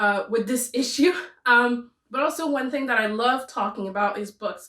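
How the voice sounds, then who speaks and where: Speaking with a French Canadian accent, a woman uses a high, bright and sharp voice at a moderate pace. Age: 20s. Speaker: booktuber. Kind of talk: casual chat. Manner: talkative.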